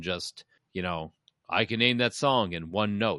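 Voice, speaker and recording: Against a quiet background, a man speaks in a fairly low voice with a dry, close sound and no echo. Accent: Chicago. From Chicago. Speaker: podcast host. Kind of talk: casual banter podcast.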